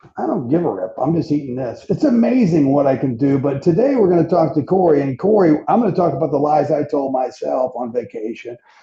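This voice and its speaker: With noticeable background noise behind him, a man with a fairly high pitch speaks with lively intonation and hardly any pauses. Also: fairly quick pace. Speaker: fitness podcast host. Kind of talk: casual podcast chat. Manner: fast; animated.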